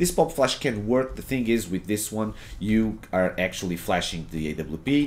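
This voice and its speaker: A man's fairly low voice with very wide pitch swings, at a moderate pace. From Portugal. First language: Portuguese. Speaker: gaming streamer and coach. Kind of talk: gameplay tutorial. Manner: hesitant, many fillers and repetitions.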